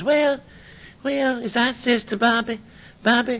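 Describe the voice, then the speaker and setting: Pitched fairly high, the voice is a put-on character. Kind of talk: folksy, rural speech.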